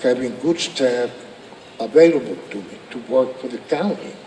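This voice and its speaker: A man with an American accent talks at a fairly slow speed while noticeable background noise carries on. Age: 70s. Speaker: county commissioner. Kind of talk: public speech. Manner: halting.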